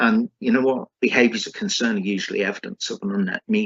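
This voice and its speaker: A man with a British accent. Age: 60s. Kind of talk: conference talk. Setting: conference with screen sharing. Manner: halting with fillers.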